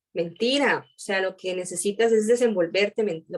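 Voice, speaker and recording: Speaking at a fairly quick pace, a woman with a Costa Rican accent uses a medium pitch and fairly even intonation. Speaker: aerospace engineering student. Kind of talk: interview. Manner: fast.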